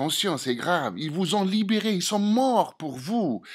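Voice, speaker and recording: A strong non-native accent comes through on a very clean recording with a silent background. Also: man. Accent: strong foreign accent in French. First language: Algerian Arabic (speaking French). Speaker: political commentator. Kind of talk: opinion monologue to camera. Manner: halting, many hesitations and repetitions.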